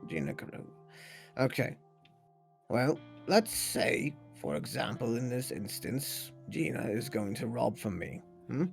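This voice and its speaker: Using a put-on character voice, a man speaks raspily at a medium pitch and a fairly slow pace, with long, frequent pauses and faint music in the background. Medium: machinima. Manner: casual, rambling, self-correcting.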